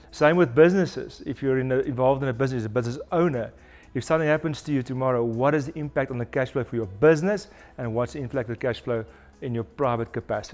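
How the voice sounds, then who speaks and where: Very fast talk from a man at medium pitch with ordinary pitch variation, music in the background. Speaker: financial advisor. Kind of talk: promotional interview. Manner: halting, many repetitions.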